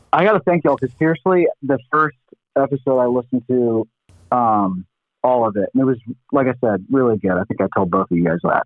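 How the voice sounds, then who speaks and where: Medium in pitch, a man's voice carries lively intonation in an unremarkable speaking voice. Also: very even loudness. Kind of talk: casual chat. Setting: phone call.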